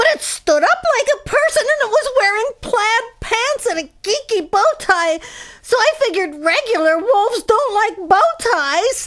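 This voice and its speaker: Female-sounding put-on character voice at an extremely high pitch, at a moderate pace. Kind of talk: comedic witness interview.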